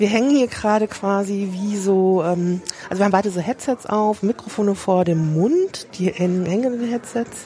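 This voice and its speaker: A woman at a medium pitch and moderate pace, ordinary pitch variation, with noticeable background noise. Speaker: podcast host and museum worker. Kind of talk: casual walking museum tour conversation. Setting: walking through a crowded museum with headset mic.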